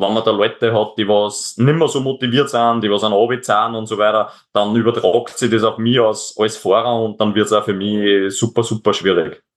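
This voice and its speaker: This man talks at a moderate pace with hardly any pauses. His medium-pitched voice keeps a fairly even intonation. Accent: Upper Austrian. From Upper Austria, near Linz. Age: 20s. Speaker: extreme endurance athlete. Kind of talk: interview. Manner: halting, many repetitions.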